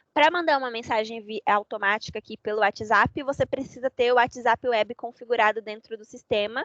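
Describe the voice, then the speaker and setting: Recorded dry and close with no echo, a woman talks at a fairly quick pace, her fairly high pitch held in fairly even intonation. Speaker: software trainer. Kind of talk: online training session. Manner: fast.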